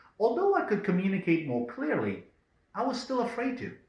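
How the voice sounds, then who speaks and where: Lively intonation marks a man's voice, pitched high. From Israel, then South Africa and Belgium as a teen. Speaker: self-development video host. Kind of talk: scripted monologue.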